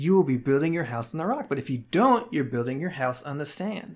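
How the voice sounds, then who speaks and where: An unremarkable speaking voice from a fairly high-pitched man, lively in intonation, on a very clean recording with a silent background. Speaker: Bible teaching podcaster. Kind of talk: solo Bible teaching monologue.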